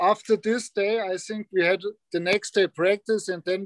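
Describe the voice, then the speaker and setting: A man's high-pitched voice in a strong German accent, at a moderate pace, with a dry, close sound and no echo. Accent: German-accented English, fairly strong. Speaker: hockey player. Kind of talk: casual chat.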